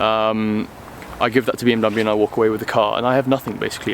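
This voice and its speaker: Noticeable background noise runs under a man with a British accent who speaks very fast at a medium pitch with fairly even intonation. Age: 20s. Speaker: car vlogger. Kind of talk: casual vlog talk. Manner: hesitant with many ums.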